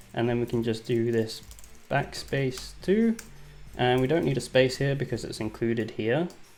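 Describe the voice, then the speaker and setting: A man's medium-pitched voice moves at a moderate tempo, its pitch shifting in a normal way. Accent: English. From England. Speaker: software developer. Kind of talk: live coding tutorial. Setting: livestream. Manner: casual, hesitant with fillers.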